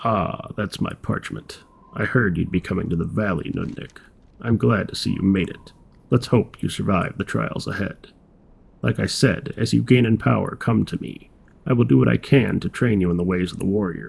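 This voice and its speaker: Using a put-on character voice, a man speaks at a very deep, low pitch. His pace is moderate. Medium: solo performance. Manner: blunt, gruff.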